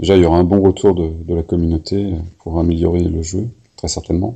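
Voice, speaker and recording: A man speaks at a moderate pace with a very deep, low pitch and a dark, mellow tone. His delivery is monotone and flat, and somewhat breathy. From Paris. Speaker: podcast host. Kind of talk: interview.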